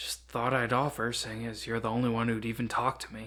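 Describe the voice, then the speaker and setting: Someone does a put-on character voice that sounds raspy, at a fairly quick pace. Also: man, medium pitch for a man. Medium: read story. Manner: casual, disinterested.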